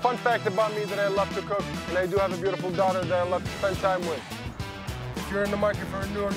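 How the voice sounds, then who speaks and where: A man talks at a very fast pace with clear music playing in the background. The sound is dry, with no echo. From Jordan. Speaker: car salesperson. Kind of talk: staff introduction to camera. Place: street.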